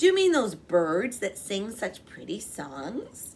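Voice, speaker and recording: Loud and fairly slow, a woman puts on a character voice at a medium pitch. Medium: read story. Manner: loud, hearty.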